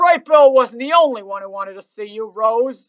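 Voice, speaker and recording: At a moderate pace, a woman puts on a character voice pitched fairly high. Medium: read story.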